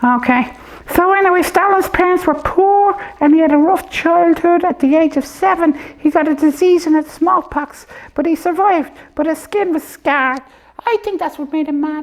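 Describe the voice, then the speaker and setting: A cartoonish character voice sits at an extremely high pitch. It moves along at a moderate pace. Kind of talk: comedy puppet show.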